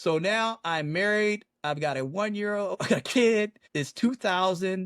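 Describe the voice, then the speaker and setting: A man with an American accent speaks in a high voice with ordinary pitch variation. The sound is dry and close, with no echo. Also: moderate pace. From Washington DC, northeast DC. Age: 50s. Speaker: military flight surgeon. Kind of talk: interview.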